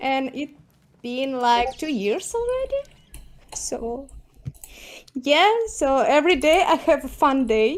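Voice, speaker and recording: Speaking very slowly with long, frequent pauses, a woman uses a high pitch and lively intonation. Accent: non-native. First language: not English. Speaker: voice chat participant telling a personal story. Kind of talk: personal story in casual group chat. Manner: halting.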